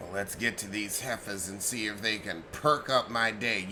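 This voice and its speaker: Using a put-on character voice, a man speaks husky and at a fairly low pitch at a moderate pace, with noticeable background noise. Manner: wry, sarcastic.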